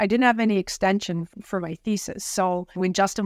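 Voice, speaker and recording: A woman with a Canadian accent at a moderate pace, in a very clean recording with a silent background. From Ottawa, Canada. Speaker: president and CEO of a bioscience nonprofit. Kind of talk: interview.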